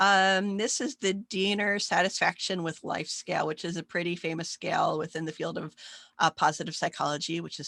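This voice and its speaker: A woman's fairly low-pitched, bright, sharp voice at a fairly quick pace, dry and close with no echo. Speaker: psychology professor. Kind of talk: recorded online lecture. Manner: fast.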